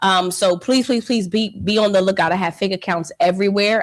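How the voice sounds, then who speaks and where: A woman speaks with a Philadelphia accent at medium pitch. Her tone is animated. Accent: Philadelphia American English. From Philadelphia, US. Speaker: financial educator. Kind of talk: live online training webinar. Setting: livestream.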